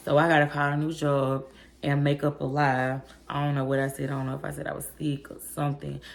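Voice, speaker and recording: A woman's very deep, low voice, animated in tone and very fast in pace. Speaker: vlogger. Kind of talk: storytime vlog.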